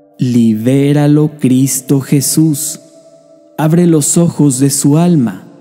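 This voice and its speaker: Music plays in the background as a man speaks at a very slow pace in a solemn tone. His pitch is fairly high, with ordinary variation. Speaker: prayer narrator. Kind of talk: prayer reading, devotional narration. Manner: slow, solemn, pleading.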